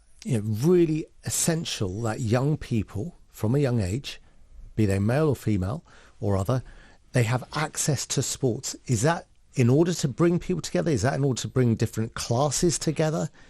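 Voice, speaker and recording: A man speaks at a moderate pace in a medium pitch, his dark, mellow tone somewhat breathy, with lively intonation and very even loudness. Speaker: radio presenter. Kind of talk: radio show hosting.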